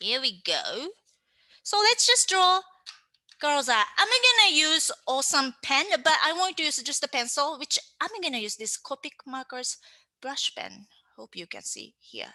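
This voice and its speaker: In a raised, projected voice with a bright, sharp tone, a woman with a Japanese accent speaks at a fairly slow pace, with very wide pitch swings, big swings in loudness and long, frequent pauses. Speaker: manga artist and teacher. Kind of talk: tutorial. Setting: online class. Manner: animated.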